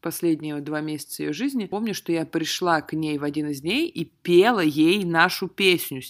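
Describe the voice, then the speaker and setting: A woman with a fairly low voice speaks at a moderate pace in a very clean recording with a silent background. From Russia, small military town. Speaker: podcast host. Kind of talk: casual chat.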